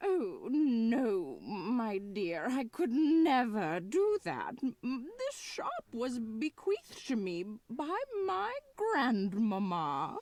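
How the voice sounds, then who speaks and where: A put-on character voice at a very slow pace with very wide pitch swings. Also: female-sounding voice, fairly high pitch for a woman. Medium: video game. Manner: doddering, self-pitying.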